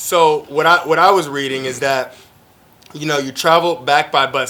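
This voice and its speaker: With an ordinary speaking voice, a man talks at a fairly quick pace with fairly high pitch and ordinary pitch variation. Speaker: host and CEO of a production company. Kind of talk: casual interview conversation.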